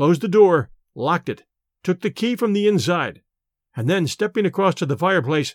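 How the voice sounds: There is a quiet background behind a natural reading voice.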